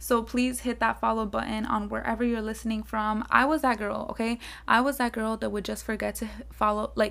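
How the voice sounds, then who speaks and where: A woman speaks at a moderate pace with a South Florida accent. The recording is very clean, with a silent background. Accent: South Florida American English. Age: 20s. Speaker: podcast host, college student. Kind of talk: casual monologue. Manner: casual, filler-heavy.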